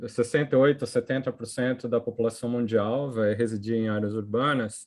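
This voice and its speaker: A man holds fairly even intonation at a medium pitch, talking at a moderate pace. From Brazil, São Paulo. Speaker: economics professor. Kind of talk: academic seminar presentation. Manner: halting, many fillers and restarts.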